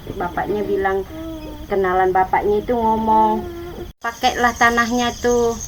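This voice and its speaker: A woman with a fairly high pitch speaks with a Javanese accent against noticeable background noise. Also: ordinary pitch variation, fairly slow pace. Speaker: villager receiving charity visit. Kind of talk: casual interview.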